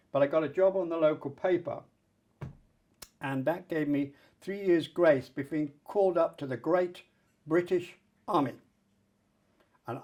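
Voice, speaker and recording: Speaking with a southern English accent, a man uses a high pitch, a dark, mellow tone, ordinary pitch variation and a moderate pace. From England, Colchester. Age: 80s+. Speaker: Roma rights activist. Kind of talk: oral history interview.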